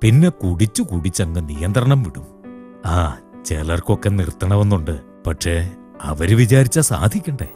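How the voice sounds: A man's put-on character voice, low-pitched with a dark, mellow tone and a slightly husky edge, making big pitch swings at a fairly slow pace over faint music in the background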